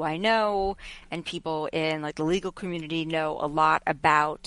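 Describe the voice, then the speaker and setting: A plain, everyday voice: a woman with an American accent, fairly low pitch and fairly even intonation, at a moderate pace in a quiet background. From Long Island, New York. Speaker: journalist and media commentator. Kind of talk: casual interview.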